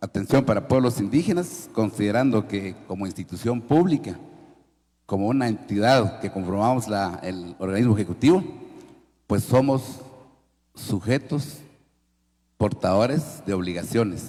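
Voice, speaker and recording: This man has a medium pitch and a dark, mellow tone. He talks at a fairly slow pace with lively intonation and long, frequent pauses. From Guatemala. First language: Kaqchikel (speaking Spanish). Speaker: government official. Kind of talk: panel forum talk. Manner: formal.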